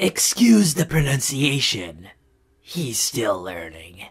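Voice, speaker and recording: A man's put-on character voice, medium in pitch, very slow, with very wide pitch swings. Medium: fan dub. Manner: dry, sardonic.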